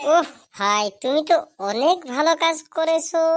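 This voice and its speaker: A squeaky, cartoonish character voice from a woman, extremely high in pitch, with lively intonation at a moderate pace. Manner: warm, chatty.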